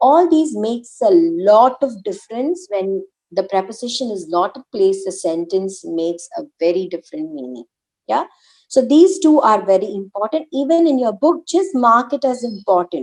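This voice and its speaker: A woman speaks with an Indian accent at a moderate pace. Her pitch is fairly high and swings very widely. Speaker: German language teacher. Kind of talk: online language lesson.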